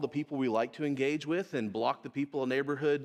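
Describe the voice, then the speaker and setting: In a very clean recording with a silent background, a man is heard speaking. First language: American Sign Language. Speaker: missions speaker. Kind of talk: conference talk. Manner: conversational.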